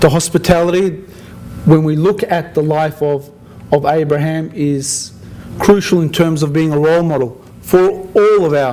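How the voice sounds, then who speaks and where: Over noticeable background noise, a man with an Australian accent speaks at a fairly high pitch with fairly even intonation. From Australia (Sydney). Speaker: interfaith community organizer. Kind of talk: after-dinner speech. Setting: dinner event with audience, at microphone. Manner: halting, with frequent repetitions.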